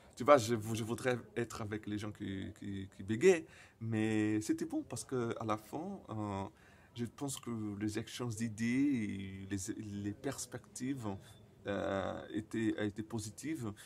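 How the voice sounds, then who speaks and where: This man talks at a very slow pace in a Brazilian accent, his pitch medium with ordinary variation. The recording is very clean, with a silent background. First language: Portuguese (speaking French). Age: 20s. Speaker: person who stutters sharing experience. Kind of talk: personal vlog. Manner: stuttering; halting, many fillers and repetitions.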